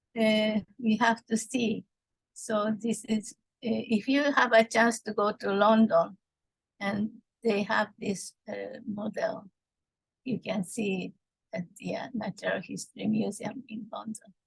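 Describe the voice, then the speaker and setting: A woman speaks at a fairly slow pace with vocal fry. Her pitch is fairly high. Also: fairly even intonation, dry, close sound with no echo. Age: 70s. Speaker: art therapist. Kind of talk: lecture. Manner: halting, many fillers.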